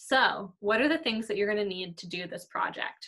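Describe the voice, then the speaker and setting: At a moderate pace, a woman speaks in a bright, sharp tone with ordinary pitch variation against a quiet background. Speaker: art teacher. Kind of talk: tutorial. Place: kitchen. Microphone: webcam.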